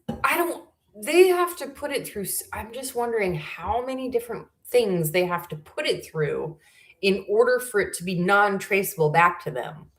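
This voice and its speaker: A woman's fairly high, somewhat breathy voice at a moderate pace, with very wide pitch swings and big swings in loudness. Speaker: YouTube livestream host. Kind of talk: casual livestream chat. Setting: home livestream, camera not working. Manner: occasional stutter; halting, searches for words.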